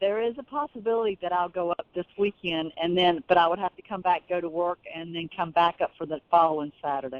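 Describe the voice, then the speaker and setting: A woman with a Southern US accent, fairly low in pitch, fairly quick, hardly any pauses, big swings in loudness. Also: ordinary pitch variation. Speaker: caller. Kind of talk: phone call.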